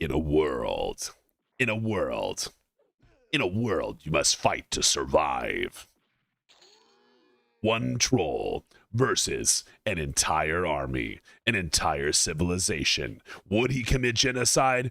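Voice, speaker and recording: Putting on a character voice, a man talks at a fairly slow pace and fairly low pitch, with long, frequent pauses. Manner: dramatic, cinematic.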